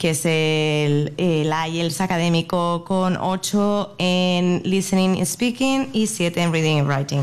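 A woman speaks at a very slow pace with hardly any pauses. Her loudness stays very even, and her pitch varies in an ordinary way. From Spain, Madrid. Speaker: early childhood educator. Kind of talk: interview. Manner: hesitant, with fillers.

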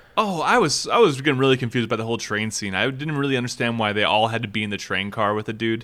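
A man's medium-pitched voice with a Midwestern US accent, bright and sharp in tone, at a very fast pace and with ordinary pitch variation. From US Midwest, Minnesota. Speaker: podcast host. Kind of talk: casual chat.

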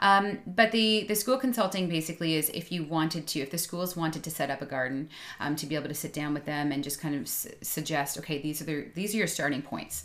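A woman's very deep, low voice in a Canadian accent, at a very fast pace with hardly any pauses. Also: ordinary pitch variation. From suburban Ontario. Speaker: biologist and gardening business owner. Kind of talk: casual interview. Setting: home studio.

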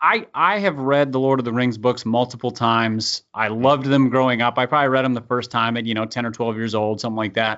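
A man with a medium-pitched voice talks at a very fast pace, with fairly even intonation and hardly any pauses. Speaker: podcast co-host. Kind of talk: casual banter. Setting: studio.

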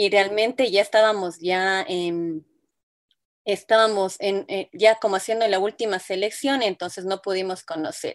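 A woman at a medium pitch with ordinary pitch variation, fairly slow pace, quiet background. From Ecuador. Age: 30s. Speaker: illustrator and graphic designer. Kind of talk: interview. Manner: hesitant, many fillers.

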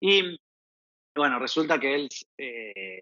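A man speaks with an Argentine accent. His pitch is fairly high, with ordinary pitch variation. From Argentina. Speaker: proptech startup founder. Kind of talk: podcast interview. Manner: halting, repeats words.

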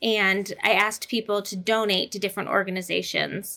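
A woman with a bright, sharp tone and vocal fry speaks at a medium pitch in a monotone, flat delivery, recorded very cleanly against a silent background. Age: 40s. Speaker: artist and college professor. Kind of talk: personal testimony in interview.

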